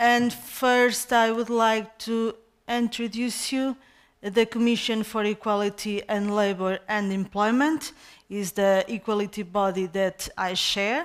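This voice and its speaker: With a Portuguese accent, a woman speaks at a fairly high pitch and a fairly slow pace. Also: fairly even intonation. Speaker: head of a national equality commission. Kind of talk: conference presentation. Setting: conference stage with audience. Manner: halting, many hesitations.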